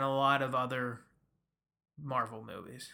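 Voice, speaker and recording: The speaker is a man with an American accent. His tone is bright and sharp. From US Midwest. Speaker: podcast host. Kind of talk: casual chat.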